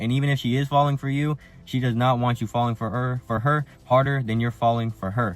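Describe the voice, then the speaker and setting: A man speaks in a plain, everyday voice with medium pitch. His pace is fairly quick and his intonation fairly even. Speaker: dating advice youtuber. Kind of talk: advice monologue. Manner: casual.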